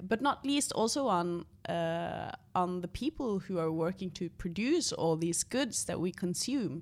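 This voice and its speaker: Lively intonation in a Norwegian accent at a fairly slow pace, on a very clean recording with a silent background. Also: woman, medium pitch for a woman. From northern Norway, Tromsø. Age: 30s. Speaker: environmental organization leader. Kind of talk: interview.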